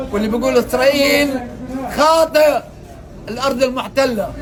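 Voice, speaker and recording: Crowd noise fills the background as a man with a Gazan accent speaks at a fairly slow pace. Audible room echo surrounds his voice. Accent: Gazan Palestinian Arabic. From Gaza Strip, Palestine. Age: 70s. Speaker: released detainee. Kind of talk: testimony.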